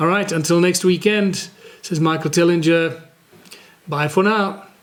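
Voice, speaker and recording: A man speaks in a high voice with fairly even intonation. Noticeable background noise runs underneath. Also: moderate pace. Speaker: community initiative founder and podcast host. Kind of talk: solo podcast talk.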